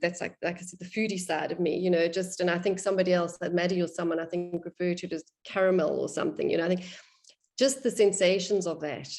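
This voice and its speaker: A woman speaks at a medium pitch in a plain, everyday voice, her intonation fairly even. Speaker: qigong student in instructor training. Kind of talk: group discussion of experiences.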